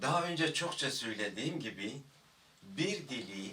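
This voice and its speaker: A man with a Kurdish accent, bright and sharp in tone, with vocal fry, very wide pitch swings, a fairly slow pace and audible room echo. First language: Kurdish (speaking Turkish). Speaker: Kurdish language teacher. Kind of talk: video lecture. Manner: hesitant, with filler sounds.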